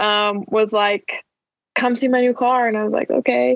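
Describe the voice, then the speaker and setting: A woman with an American accent and a fairly high pitch, at a moderate pace, in a normal speaking voice. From Arizona, raised partly in Utah. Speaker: student podcast host. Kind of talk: casual chat and interview. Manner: lots of fillers, laughing.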